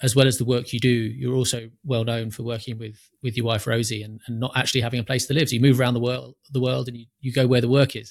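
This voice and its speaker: Very fast and somewhat breathy, a man at medium pitch speaks on a very clean recording with a silent background. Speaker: podcast host. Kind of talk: casual interview conversation.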